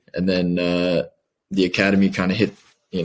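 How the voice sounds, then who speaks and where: Very deep and low, this man's voice carries an American accent. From Kansas City, Missouri, US Midwest. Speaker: professional footballer. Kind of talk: interview.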